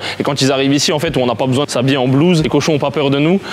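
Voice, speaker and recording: Delivered at a very fast pace with fairly even intonation, the speech comes through noticeable background noise. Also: man. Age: 20s. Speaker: pig farmer. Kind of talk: interview portrait.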